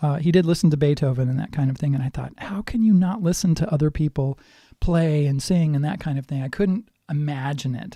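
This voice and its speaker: In a very clean recording with a silent background, a somewhat breathy voice with a dark, mellow tone moves at a fairly quick pace with ordinary pitch variation. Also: man, fairly high pitch for a man. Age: 60s. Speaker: guitar teacher. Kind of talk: casual talk to camera about musical influences. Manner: hesitant, many fillers.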